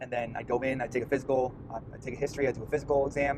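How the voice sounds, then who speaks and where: A man speaks at a medium pitch with a Long Island accent. His intonation stays monotone and flat. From US Northeast, Long Island, New York. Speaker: medical student vlogger. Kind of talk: casual vlog monologue. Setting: in a car. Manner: halting, many fillers and repeats.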